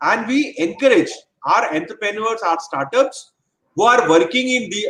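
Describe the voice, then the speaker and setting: A man talks at a moderate pace. His pitch makes very wide swings. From northern India, Hindi-speaking small town. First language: Hindi. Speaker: government official. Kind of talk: webinar talk. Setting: online webinar.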